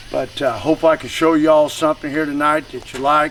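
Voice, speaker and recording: A fairly high-pitched man with an American accent, at a moderate pace and in a monotone, flat intonation, over noticeable background noise. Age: 60s. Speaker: coonhound breeder and hunter. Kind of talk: casual chat.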